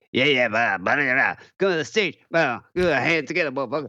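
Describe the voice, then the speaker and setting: In a put-on character voice, a man mumbles at a fairly quick pace, his pitch fairly high and his intonation lively. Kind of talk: casual street slang. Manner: mumbled, slurred, hard to understand.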